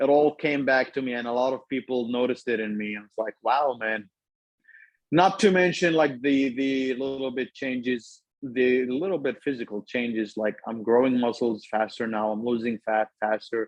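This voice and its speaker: At a moderate pace, a man speaks in a medium pitch with ordinary pitch variation, and the sound is dry and close with no echo. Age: 30s. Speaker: lawyer and supplement customer. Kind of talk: interview testimony.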